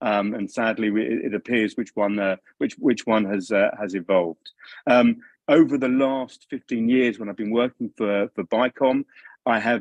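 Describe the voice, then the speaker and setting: A man's fairly quick speech with a London accent, dry and close with no echo. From London, England. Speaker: policy analyst. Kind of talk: video call briefing. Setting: video call. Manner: halting.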